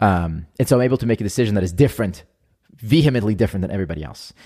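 In an Israeli accent, the speaker goes at a very fast pace with lively intonation and a dark, mellow tone on a very clean recording with a silent background. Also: man. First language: Hebrew. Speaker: entrepreneur. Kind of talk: casual interview chat.

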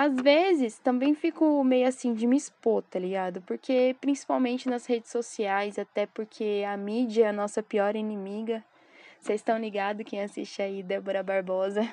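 Her fairly high voice has a dark, mellow tone, and this woman speaks at a moderate pace with ordinary pitch variation, the sound dry and close with no echo over a quiet background. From Brazil, São Paulo. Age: 20s. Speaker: podcaster and skateboarder. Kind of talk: casual monologue. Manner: casual slangy.

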